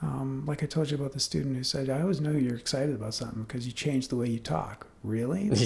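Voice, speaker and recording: Against noticeable background noise, a man at medium pitch talks at a very fast pace with hardly any pauses and ordinary pitch variation. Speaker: university lecturer. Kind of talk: casual chat.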